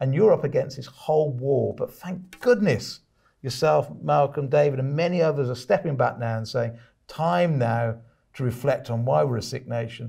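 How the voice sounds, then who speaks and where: In a British accent, a man speaks with a dark, mellow tone that is somewhat breathy. His pitch varies in an ordinary way. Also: moderate pace, quiet background. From UK. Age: 50s. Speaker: podcast host and author; podcast host. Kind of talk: casual interview. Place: studio.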